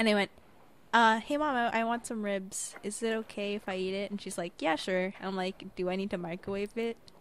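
A woman speaks at a fairly quick pace, her medium pitch rising and falling in an ordinary way. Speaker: podcast co-host. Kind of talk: casual chat. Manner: loud.

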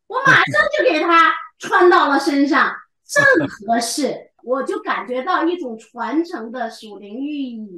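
A woman projects her raised voice in a bright, sharp tone. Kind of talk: poem performed, devotional reading aloud; personal tribute and remembrance. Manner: solemn, lyrical, measured, reverent.

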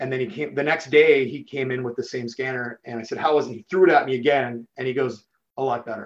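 At a very fast pace, a man with a medium pitch speaks with big swings in loudness. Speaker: chief information officer. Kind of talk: casual interview conversation. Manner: fast talker; excitable.

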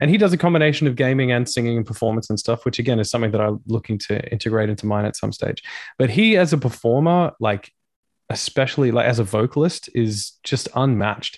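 Talking at a very fast pace, a man with an Australian accent uses a medium pitch and ordinary pitch variation over a quiet background. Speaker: rock singer. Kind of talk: casual chat.

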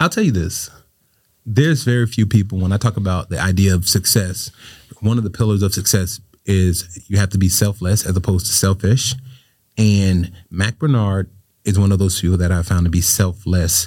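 Recorded very cleanly against a silent background, a man speaks with a fairly low, somewhat breathy voice and fairly even intonation. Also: moderate pace. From Florida, Riviera Beach. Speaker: state senator. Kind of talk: interview.

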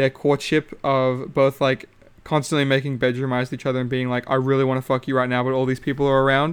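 This man talks at a medium pitch with a monotone, flat intonation. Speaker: solo podcaster, reality TV commentator. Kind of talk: casual solo monologue. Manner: casual, halting with fillers.

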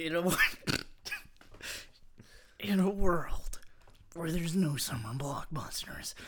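A man's strained, high put-on character voice at a fairly slow pace, broken by long, frequent pauses

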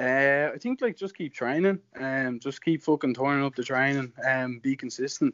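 A man talks at a moderate pace in a normal speaking voice. His pitch is fairly high and his intonation fairly even. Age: 20s. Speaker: jiu jitsu practitioner. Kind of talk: casual chat. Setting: video call.

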